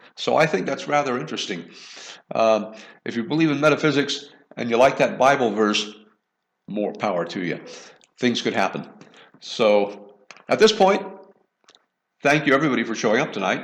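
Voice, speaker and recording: Audible room echo surrounds a man speaking at medium pitch and a moderate pace, with lively intonation and long, frequent pauses. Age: 60s. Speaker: online science educator, show host. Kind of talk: live online lecture wrap-up and Q&A. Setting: virtual reality gallery.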